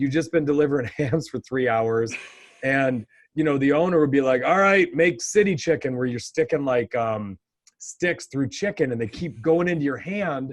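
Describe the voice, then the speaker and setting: Speech at a moderate pace carries lively intonation. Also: man, fairly high pitch for a man. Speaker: podcast co-host. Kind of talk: casual chat. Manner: loud.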